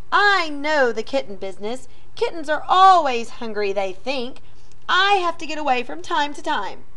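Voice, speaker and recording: Someone talks at a moderate speed in a put-on character voice. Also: woman. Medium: read story.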